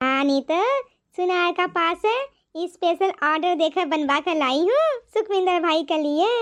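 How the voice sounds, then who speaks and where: A cartoonish character voice talks at a moderate pace with ordinary pitch variation. Its loudness stays very even. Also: woman, extremely high pitch for a woman. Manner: fawning toward wealth, dismissive otherwise.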